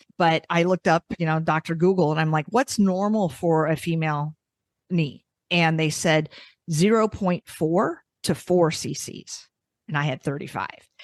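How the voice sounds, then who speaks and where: Her voice is an unremarkable speaking voice, fairly low for a woman, with ordinary pitch variation. She keeps a moderate pace, and the sound is dry and close with no echo. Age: 60s. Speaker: podcast co-host. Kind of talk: casual interview chat.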